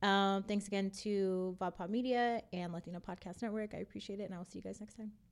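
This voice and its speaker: A woman with an American accent at medium pitch, fairly quick and monotone, with flat intonation. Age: 20s. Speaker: podcast host. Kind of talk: casual chat; show intro and outro.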